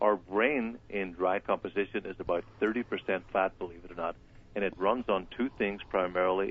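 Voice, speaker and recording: In an Irish accent, a man with a very deep, low pitch talks at a moderate pace with fairly even intonation. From Ireland. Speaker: wellness doctor. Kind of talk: live radio interview. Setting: phone call.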